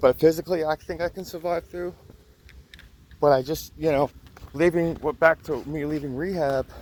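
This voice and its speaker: With an American accent, a man speaks at a moderate pace and a fairly high pitch with fairly even intonation. Long, frequent pauses break up his speech, and the sound is dry and close with no echo. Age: 30s. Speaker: vlogger in addiction recovery. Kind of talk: personal testimony vlog. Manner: halting.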